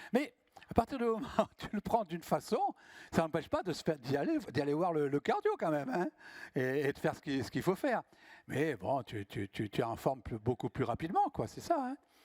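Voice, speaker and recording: Fairly high-pitched for a man, he talks at a fairly quick pace with very wide pitch swings, in a dry, close sound with no echo. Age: 70s. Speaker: professional public speaker. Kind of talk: conference talk with audience Q&A. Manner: animated.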